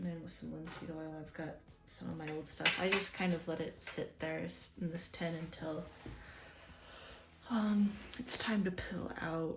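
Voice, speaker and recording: Soft-spoken and fairly low-pitched, a woman talks at a moderate pace with long, frequent pauses and fairly even intonation, with audible room echo and music in the background. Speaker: artist doing painting videos. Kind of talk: casual chat while painting. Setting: home apartment. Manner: quiet, soft-spoken; halting, repeats words.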